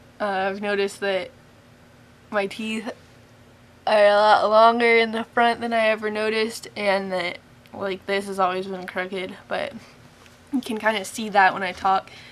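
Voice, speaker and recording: With an American accent, a woman talks in a monotone, flat intonation broken by long, frequent pauses. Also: medium pitch for a woman, moderate pace. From US Pacific Northwest, Spokane, Washington. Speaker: vlogger. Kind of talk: casual vlog. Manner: frequent ums and hesitations.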